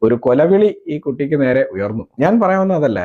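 A man's voice has a dark, mellow tone and fairly high pitch with very wide pitch swings. The sound is dry and close with no echo. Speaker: political commentator on a YouTube channel. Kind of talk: political commentary monologue.

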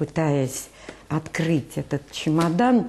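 The voice has a dark, mellow tone and lively intonation at a slow pace. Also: woman, low pitch for a woman.

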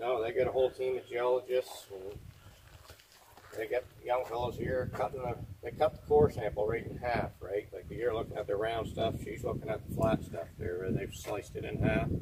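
Speech comes at a moderate pace over noticeable background noise. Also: man. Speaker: site guide. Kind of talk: informal explanation. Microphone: camera far.

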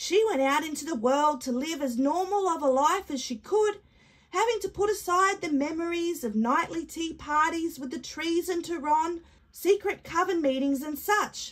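A woman uses a put-on character voice at an extremely high pitch. She moves at a moderate pace. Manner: warm, patient, matter-of-fact.

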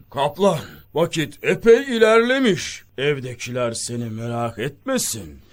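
A man puts on a character voice, pitched fairly high and delivered at a fairly slow pace. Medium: audio drama. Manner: regal, commanding.

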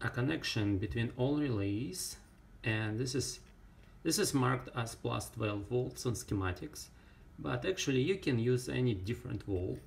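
A man speaks with a non-native accent and vocal fry. His intonation is lively while his loudness stays very even. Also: moderate pace. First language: not English. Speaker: ham radio hobbyist, electronics builder. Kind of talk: casual tutorial talk to camera. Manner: hesitant, many fillers. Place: workshop. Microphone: phone near.

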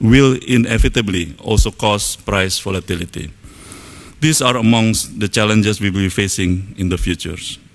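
With an Indonesian accent, a man speaks fairly low at a moderate pace, his pitch varying in an ordinary way. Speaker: government official. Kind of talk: opening speech. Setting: stage with audience. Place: hall. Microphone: podium.

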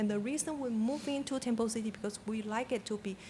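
A woman talks at a fairly quick pace with a non-native accent. Her fairly high voice is somewhat breathy. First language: not English. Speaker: public commenter at city council meeting. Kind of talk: public comment. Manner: halting.

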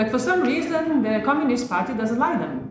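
With strong room echo around her, a woman speaks high for a woman at a fairly quick pace, her intonation lively.

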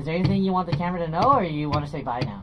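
Loud background noise runs behind the recording. A man speaks with ordinary pitch variation. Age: 20s. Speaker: music teacher. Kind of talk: music lesson with a young child. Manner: playful, counting aloud. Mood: playful, encouraging. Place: classroom.

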